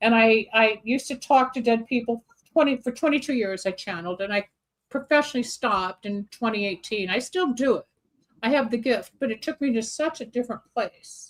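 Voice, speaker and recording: Her voice is high in pitch, with ordinary pitch variation. The woman speaks at a fairly quick pace. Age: 70s. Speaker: psychic and metaphysical clinician. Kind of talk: interview.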